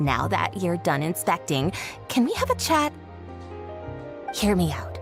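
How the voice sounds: Putting on a character voice, a woman speaks at a fairly slow pace and a fairly low pitch with big pitch swings and vocal fry, over clear music in the background.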